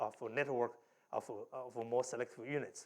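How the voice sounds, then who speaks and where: A man speaks with a Chinese accent. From China. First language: Mandarin Chinese. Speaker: professor. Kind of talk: lecture.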